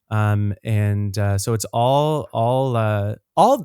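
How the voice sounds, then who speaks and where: The speaker has an East Coast Canadian accent and ordinary pitch variation. The recording is very clean, with a silent background and a dry, close sound with no echo. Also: man. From Nova Scotia, Canada (Dartmouth). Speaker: singer and actor. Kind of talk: podcast interview. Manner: halting.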